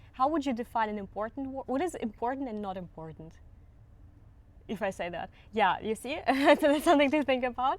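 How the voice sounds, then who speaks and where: In a very clean recording with a silent background, a woman with a slight Russian accent speaks in a high voice, making very wide pitch swings and taking long, frequent pauses. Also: fairly quick pace. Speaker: language teacher. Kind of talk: tutorial. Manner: halting.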